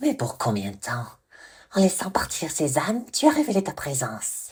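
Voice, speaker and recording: A put-on character voice at a middle pitch sounds shrill and swings very widely in pitch. The pace is moderate. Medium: read story. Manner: mocking, unhinged.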